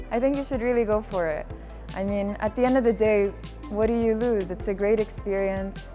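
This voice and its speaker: Music plays in the background as a woman talks at a fairly quick pace with fairly even intonation. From UAE. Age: 20s. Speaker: student. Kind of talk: interview testimonial.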